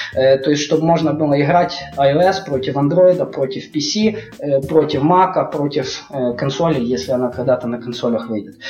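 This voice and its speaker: A man speaks in a fairly high voice at a moderate pace, his pitch varying in an ordinary way, while noticeable background noise fills the recording. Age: 30s. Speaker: game developer. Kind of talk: casual chat.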